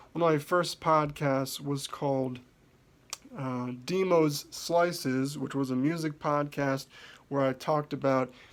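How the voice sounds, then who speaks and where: Mumbling at a fairly slow pace, a man with an American accent speaks at a fairly high pitch. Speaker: podcaster and musician. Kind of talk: self-introduction monologue.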